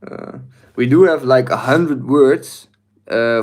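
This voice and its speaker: In a Dutch accent, a man with a fairly high pitch talks at a fairly slow pace using lively intonation. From Netherlands. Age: 20s. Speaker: livestreamer. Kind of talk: live stream chat. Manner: hesitant, many fillers.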